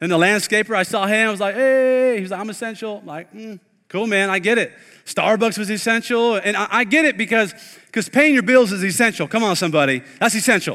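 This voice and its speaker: With a raised, projected voice, a man speaks at a very fast pace in an animated, bright, sharp tone, high in pitch with ordinary pitch variation and big swings in loudness. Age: 30s. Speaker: pastor. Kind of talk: sermon. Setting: online streamed church service.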